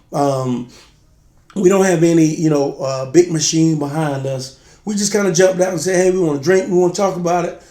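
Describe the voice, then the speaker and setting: A high-pitched man's voice with a dark, mellow tone, ordinary pitch variation and a fairly quick pace, with audible room echo. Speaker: spirits review show co-host. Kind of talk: casual chat. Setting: video shoot.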